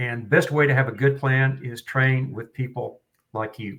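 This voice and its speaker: This man speaks with a Western Oklahoma accent. His intonation stays fairly even. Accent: Western Oklahoma twang. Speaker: firearms trainer. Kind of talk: podcast interview.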